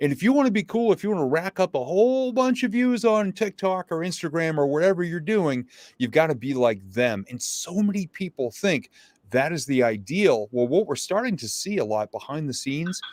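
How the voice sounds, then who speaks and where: A man with a high pitch talks fairly quickly, his voice making very wide pitch swings. The sound is dry and close with no echo, on a very clean recording with a silent background. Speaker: motivational speaker. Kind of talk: interview. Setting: live stream. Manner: casual, conversational.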